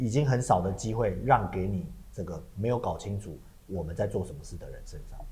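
A man talks at a fairly quick pace in a fairly low, somewhat breathy voice with a dark, mellow tone, ordinary pitch variation and big swings in loudness. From Taiwan. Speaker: podcast co-host and stage actor. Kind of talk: casual chat. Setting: studio.

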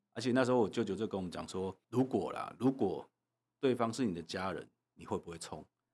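A man with a normal speaking voice talks at medium pitch and a fairly quick pace, his pitch varying in an ordinary way and his loudness swinging widely. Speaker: legislator. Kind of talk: interview.

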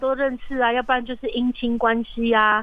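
A woman is talking. Her voice sits high. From Taiwan, Atayal community in Taichung mountains. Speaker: documentary director and film school founder. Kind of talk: interview. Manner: hesitant, many fillers.

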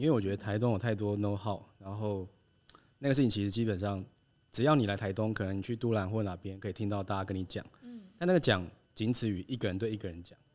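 Very rapid male speech with ordinary pitch variation. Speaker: designer. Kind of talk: casual chat.

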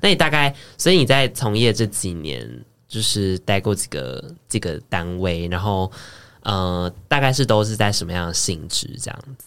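A fairly low-pitched male voice with lively intonation and big swings in loudness, on a very clean recording with a silent background. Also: moderate pace. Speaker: podcast co-host. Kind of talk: casual chat.

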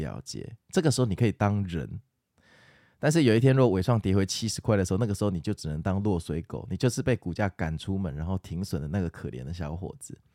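A man with a dark, mellow tone and fairly low pitch speaks at a very fast pace with lively intonation, on a very clean, dry, close recording with no echo and a silent background. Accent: Taiwanese. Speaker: stock market podcaster. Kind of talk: casual market commentary and listener Q&A.

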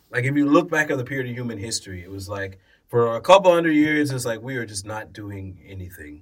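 Very fast delivery with lively intonation and big swings in loudness on a very clean recording with a silent background. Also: man, medium pitch for a man. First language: English (speaking Chinese). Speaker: podcast guest. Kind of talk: casual chat. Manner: code-switching between English and Mandarin.

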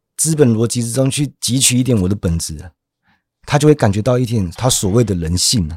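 A man's ordinary speaking voice, medium in pitch, with lively intonation and a fairly quick pace on a very clean recording with a silent background. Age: middle-aged. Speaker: podcast host. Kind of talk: casual chat about philosophy.

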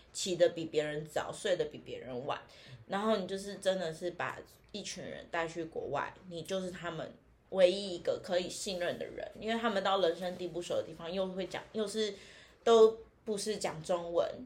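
A woman talks at a moderate pace in a plain, everyday voice, her pitch medium with ordinary variation and her loudness swinging widely. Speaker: tour leader. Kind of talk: casual chat. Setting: in person, same room.

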